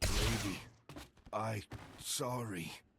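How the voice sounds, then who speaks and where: A man puts on a character voice. It sounds raspy and fairly low. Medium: video game. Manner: clipped broken grammar.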